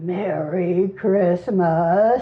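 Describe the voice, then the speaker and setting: A woman uses a put-on character voice, growling. Her pitch is medium. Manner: gruffly kind.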